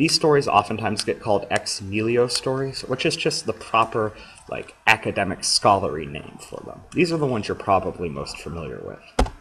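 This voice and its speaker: A man with a medium pitch speaks at a fairly quick pace with hardly any pauses, his pitch swinging very widely and his loudness swinging a lot. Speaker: teacher. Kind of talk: lecture. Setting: recorded screencast lecture. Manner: fast.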